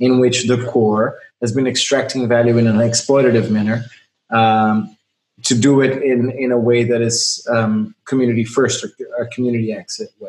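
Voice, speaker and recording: At a moderate pace, a man speaks in a normal speaking voice with a medium pitch and fairly even intonation. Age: 30s. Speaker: podcast host. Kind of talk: casual chat.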